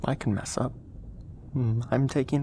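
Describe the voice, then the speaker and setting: Soft-spoken and somewhat breathy, a man has a dark, mellow tone at medium pitch. His voice moves in very wide pitch swings. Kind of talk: ASMR soft-spoken rambling and affirmations.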